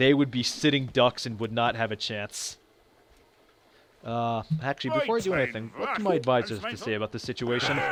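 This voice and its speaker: Fairly quick talk from a man amid noticeable background noise. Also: medium pitch for a man, ordinary pitch variation. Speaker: video game let's play narrator. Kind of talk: gameplay commentary. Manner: halting, many fillers and restarts.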